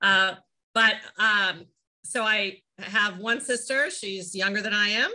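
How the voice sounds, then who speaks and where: A woman's bright, sharp tone carries fairly even intonation over a quiet background. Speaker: remote interview guest. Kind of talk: interview answer. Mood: friendly, lightly humorous. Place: home room. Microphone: video call.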